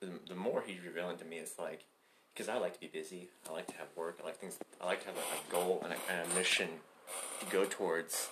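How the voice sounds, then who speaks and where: The pace is very fast. A man speaks with an American accent. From Oklahoma, US (Tulsa). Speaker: podcast guest, ministry school student. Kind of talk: casual chat.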